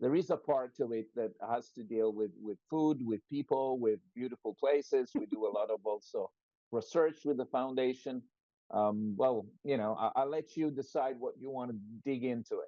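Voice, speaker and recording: A man speaks at a moderate pace in an Italian accent. His pitch sits in the middle range and varies in an ordinary way. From born in London to Italian parents. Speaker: medical doctor and academic. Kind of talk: interview. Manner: halting, many fillers.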